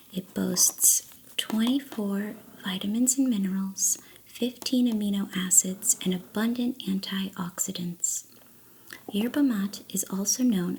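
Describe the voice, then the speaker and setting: Soft-spoken and somewhat breathy, a woman with a medium pitch and ordinary pitch variation sounds relaxed. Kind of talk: ASMR tea-making ramble to camera. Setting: binaural stereo mic, close-up recording. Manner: soft-spoken, relaxed.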